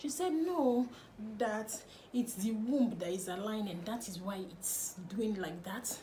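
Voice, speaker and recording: In a Nigerian accent, a woman speaks at a very slow pace with a fairly high pitch and lively intonation. Audible room echo and noticeable background noise are present. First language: Nigerian language, not English. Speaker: lifestyle vlogger. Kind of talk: personal storytelling vlog.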